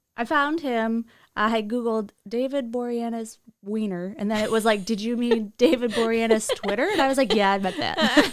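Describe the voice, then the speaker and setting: Speaking with an American accent, a woman talks at a moderate pace. Her pitch is fairly high and varies in an ordinary way. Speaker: podcast co-host. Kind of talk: casual chat. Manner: mumbles.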